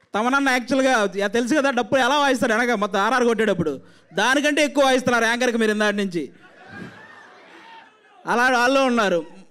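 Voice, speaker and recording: Over noticeable background noise, a man speaks in a passionate tone at an extremely high pitch, with ordinary pitch variation and very even loudness. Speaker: comedian and actor. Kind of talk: speech at a film trailer launch event. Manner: forceful, passionate.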